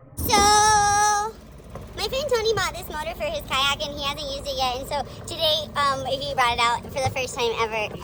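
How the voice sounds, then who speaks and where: A loud woman speaks at a high pitch with very wide pitch swings. Noticeable background noise and audible room echo fill the recording. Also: moderate pace. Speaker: vlogger. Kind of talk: casual chat. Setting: outdoors. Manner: animated.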